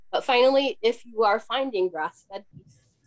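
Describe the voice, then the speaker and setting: A woman in a normal speaking voice at a moderate pace, ordinary pitch variation and a quiet background. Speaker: conservation biologist; presenter. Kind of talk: webinar presentation; Q&A answer. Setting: home office video call. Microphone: cutting out, too far from microphone; webcam.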